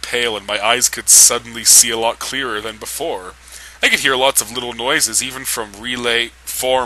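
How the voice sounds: A natural reading voice comes through. The words are read aloud.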